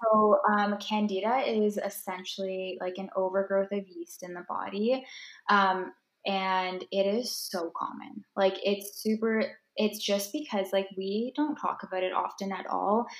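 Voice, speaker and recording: Speaking fairly slowly with a Canadian accent, a woman uses a normal speaking voice at medium pitch with ordinary pitch variation. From Ontario, Canada. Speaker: holistic nutritionist and food blogger. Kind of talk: casual chat.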